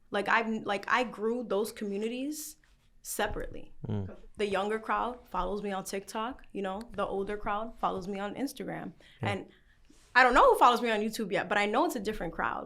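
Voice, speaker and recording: A woman with a New York accent speaks at a fairly quick pace in a fairly high voice. Her tone is bright and sharp, with ordinary pitch variation. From New York, the Bronx. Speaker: content creator. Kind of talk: interview answer.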